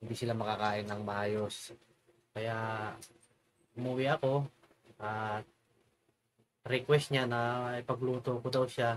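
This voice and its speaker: The man's medium-pitched voice carries monotone, flat intonation. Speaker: cooking vlogger. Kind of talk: casual vlog cooking tutorial.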